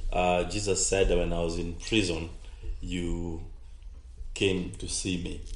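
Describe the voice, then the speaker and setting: In a room with audible echo, a man with a very deep, low pitch speaks fairly slowly, leaving long, frequent pauses. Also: fairly even intonation. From Kenya. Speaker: pastor. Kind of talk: radio talk show with preaching. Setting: studio.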